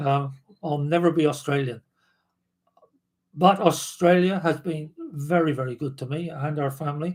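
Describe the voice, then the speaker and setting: Fairly high, somewhat breathy male voice at a moderate pace, with long, frequent pauses and fairly even intonation. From southern England, Dorset. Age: 70s. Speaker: former backpacker and adventurer. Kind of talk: casual interview. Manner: halting.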